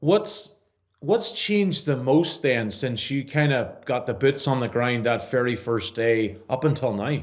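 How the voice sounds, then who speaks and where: Speaking at a fairly slow pace, a man with an Irish accent uses lively intonation. His pitch sits in the medium range. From Ireland. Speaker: podcast host. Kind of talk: podcast interview. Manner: upbeat, energetic.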